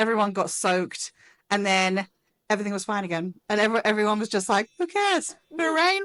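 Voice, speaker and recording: A woman with an English accent, very fast pace, fairly high pitch and lively intonation, in a dry, close sound with no echo and a quiet background. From England. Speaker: spouse of an employee. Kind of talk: casual interview. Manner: animated.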